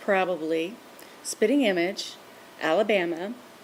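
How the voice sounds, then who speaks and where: The speaker has an American accent. Noticeable background noise runs behind the voice. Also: woman. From Louisiana, USA. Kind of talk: word list reading.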